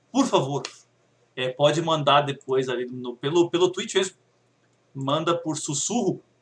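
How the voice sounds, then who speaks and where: Somewhat breathy, fairly high male speech with ordinary pitch variation. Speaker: podcast co-host. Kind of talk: casual chat.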